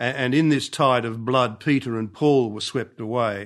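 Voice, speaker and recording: With an Australian accent and fairly even intonation, the speaker talks at a fairly slow pace against a quiet background. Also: man. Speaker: archbishop and scripture scholar. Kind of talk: lecture. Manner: halting.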